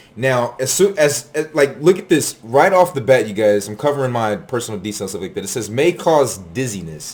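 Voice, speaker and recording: A man speaks at a medium pitch with very wide pitch swings and big swings in loudness. His tone is animated, his pace fairly quick, with hardly any pauses. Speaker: vlogger. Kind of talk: casual monologue. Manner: casual, slangy.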